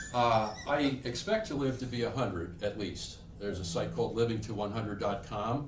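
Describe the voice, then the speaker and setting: Audible room echo surrounds the voice. It belongs to a man whose pitch varies in an ordinary way. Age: 60s. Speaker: insurance and retirement planning advisor. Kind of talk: TV interview.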